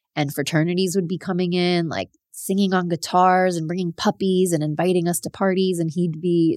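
In a South Florida accent, a woman speaks at a fairly low pitch and a moderate pace. Her intonation stays flat and monotone in a very clean recording with a silent background. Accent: American, South Florida. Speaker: podcast host. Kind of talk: solo storytelling monologue.

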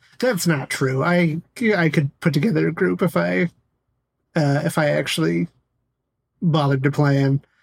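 Dry and close with no echo, the recording has a man speaking at a fairly high pitch in a somewhat breathy voice, his loudness very even, with long, frequent pauses. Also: lively intonation, moderate pace. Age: 30s. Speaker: podcast co-host. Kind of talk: casual chat.

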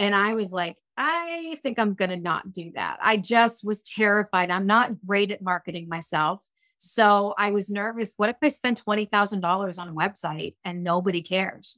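The tone is bright and sharp, with ordinary pitch variation and a moderate pace, in a dry, close sound with no echo on a very clean recording with a silent background. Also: woman, medium pitch for a woman. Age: 50s. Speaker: hairstylist and balayage educator. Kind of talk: casual interview chat. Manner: animated.

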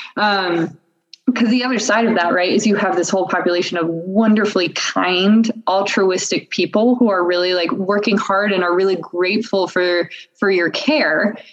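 Her voice is a plain, everyday voice: a woman at a medium pitch, moderate pace, very even loudness, fairly even intonation and hardly any pauses. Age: 20s. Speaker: surgical resident. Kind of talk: casual interview. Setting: video call.

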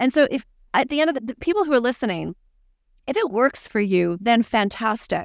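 In an ordinary speaking voice, a woman talks at a fairly quick pace with lively intonation and a fairly high pitch. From Canada. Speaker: professor of clinical psychology. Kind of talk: interview.

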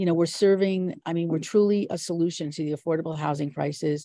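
Very fast speech from a woman with a dark, mellow tone, ordinary pitch variation, and a quiet background. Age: 60s. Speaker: business strategist and investor. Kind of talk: interview.

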